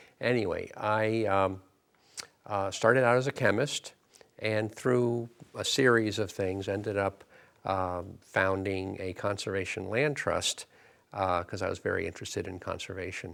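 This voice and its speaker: A man with an American accent uses an ordinary speaking voice, fairly low in pitch, at a moderate pace with fairly even intonation. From US Northeast, southern Connecticut. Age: 60s. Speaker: elder law attorney. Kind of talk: interview.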